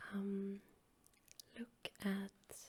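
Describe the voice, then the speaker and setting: A soft-spoken voice in a relaxed tone. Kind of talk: ASMR soft-spoken storytelling and rambling for sleep. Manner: soft-spoken, relaxed.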